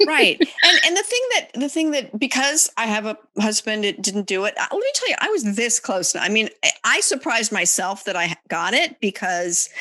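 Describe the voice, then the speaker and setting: A woman speaks at a moderate pace with lively intonation and a fairly high pitch, hardly pausing, over noticeable background noise. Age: 60s. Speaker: podcast host. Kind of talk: casual interview chat.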